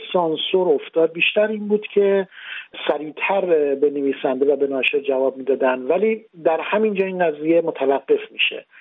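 A man talking at a moderate pace. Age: 40s. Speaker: novelist. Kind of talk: radio interview.

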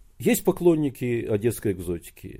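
A man's dark, mellow tone. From Odessa, Ukraine. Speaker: writer. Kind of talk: interview.

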